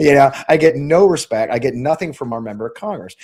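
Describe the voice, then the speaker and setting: Lively intonation and an animated tone carry this fairly quick delivery with a Midwestern US accent. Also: man. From Missouri, St. Louis suburbs. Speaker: congressional candidate and army veteran. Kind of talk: interview on live stream.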